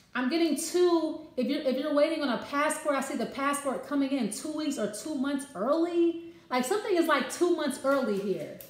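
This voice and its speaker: A woman's high voice at a moderate pace, with hardly any pauses, ordinary pitch variation and audible room echo. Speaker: card reader. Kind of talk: casual card reading talk to viewers. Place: kitchen. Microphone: phone near.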